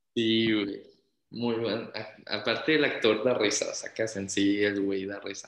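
Fairly low-pitched man, fairly slow and monotone, flat in intonation, with audible room echo. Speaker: podcast co-host. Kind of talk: casual chat.

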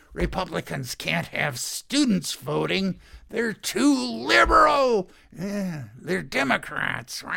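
Speaking very slowly, a man puts on a character voice pitched high, with very wide swings in pitch. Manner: angry.

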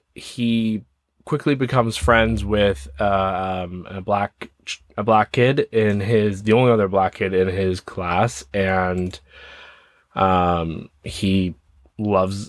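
In a Canadian accent, a man with a fairly low pitch and ordinary pitch variation speaks at a very slow pace. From Ontario, Canada. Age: 30s. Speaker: podcast host, film reviewer. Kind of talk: casual movie review monologue. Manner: hesitant, many fillers.

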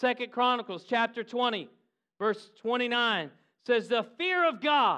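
A man's extremely high, bright and sharp voice, raised and projected, with an animated tone, ordinary pitch variation and a fairly slow pace, over a quiet background. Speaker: preacher. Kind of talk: sermon. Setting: church with live congregation, also filmed. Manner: animated, urgent, rallying the congregation with call-and-response; exhorting, building intensity with repeated phrases.

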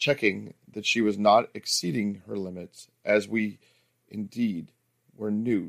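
Quiet background behind plain reading aloud

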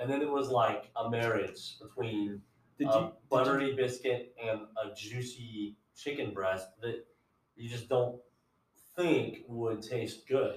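A man's somewhat breathy, medium-pitched voice with an American accent, fairly even intonation and a fairly slow pace. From Ohio. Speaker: podcast co-host. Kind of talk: casual chat.

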